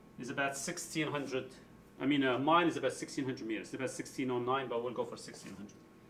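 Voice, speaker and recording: The speech runs at a very fast pace with ordinary pitch variation. Noticeable background noise and audible room echo come through. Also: man. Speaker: high school physics teacher. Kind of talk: tutorial. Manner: casual, explanatory.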